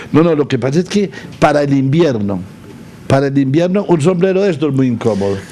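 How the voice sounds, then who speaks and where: With noticeable noise behind him, a man with a fairly high pitch talks at a fairly quick pace, his intonation lively and his loudness very even. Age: 80s+. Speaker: agricultural leader. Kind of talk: interview. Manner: halting.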